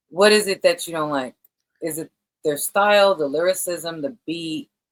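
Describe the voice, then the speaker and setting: A woman speaks with a New York accent and a fairly low pitch. Her sound is dry and close with no echo. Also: ordinary pitch variation, moderate pace. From New York, Brooklyn. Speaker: podcast host. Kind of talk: interview.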